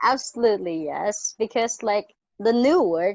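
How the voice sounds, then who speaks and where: With a non-native accent, a woman speaks with lively intonation. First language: not English. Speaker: former maths teacher, participant. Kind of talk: live online discussion. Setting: video call. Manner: halting.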